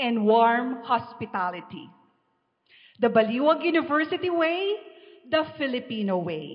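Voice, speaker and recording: The woman's voice is high in pitch. She talks at a fairly slow pace. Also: quiet background. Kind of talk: formal event emceeing. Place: hall. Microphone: handheld.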